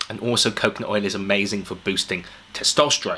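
A fairly quick-paced man. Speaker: fitness vlogger. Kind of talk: casual vlog chat. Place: home room.

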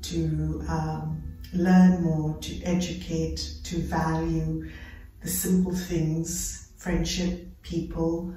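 A woman speaking very slowly, with audible room echo and light background noise. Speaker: yoga teacher. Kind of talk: class instruction. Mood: calm, gentle. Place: home room. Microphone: camera far.

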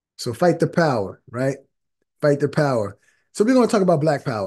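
Here a man with an American accent has a dark, mellow tone at a fairly high pitch. The background is quiet. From Philadelphia area, US. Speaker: panel discussion host. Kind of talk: panel discussion. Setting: video call. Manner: casual, uses filler like you know. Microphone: webcam.

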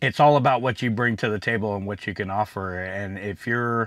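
A man talks at a fairly quick pace in a plain, everyday voice, fairly low in pitch with fairly even intonation. The sound is dry with no echo, over a quiet background. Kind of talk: casual vlog chat.

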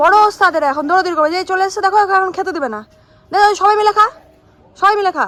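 A woman talks at an extremely high pitch. Her pitch variation is ordinary. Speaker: vlogger. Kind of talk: casual vlog chat.

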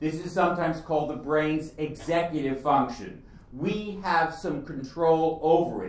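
Audible room echo around a man's speech. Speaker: speaker. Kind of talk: lecture. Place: hall.

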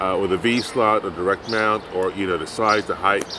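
A man's fairly low voice, fairly even in intonation, dry with no echo, over noticeable background noise. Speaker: maker channel host. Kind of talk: tutorial. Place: street.

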